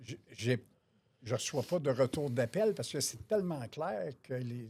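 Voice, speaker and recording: Speaking at a fairly slow pace in a Quebec accent, a man uses lively intonation at a medium pitch, his voice somewhat breathy. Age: 60s. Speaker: auto body estimator. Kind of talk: interview.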